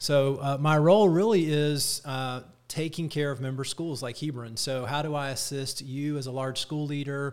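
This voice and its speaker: A man's plain, everyday voice with an American accent, fairly high in pitch, at a moderate pace. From Atlanta, US South. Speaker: school association director. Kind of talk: casual interview.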